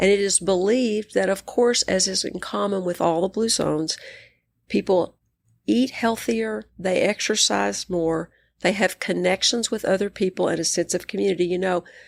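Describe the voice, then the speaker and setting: With a West Texas accent, a woman speaks at a moderate pace in a medium pitch with ordinary pitch variation, on a very clean recording with a silent background. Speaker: psychiatrist and coach. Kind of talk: interview conversation.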